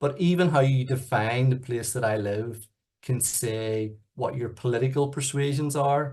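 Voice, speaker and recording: A man talks at a moderate pace with a somewhat breathy, medium-pitched voice. His intonation stays fairly even over a quiet background. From Northern Ireland, Belfast. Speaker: youth organisation chief executive. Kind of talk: presentation.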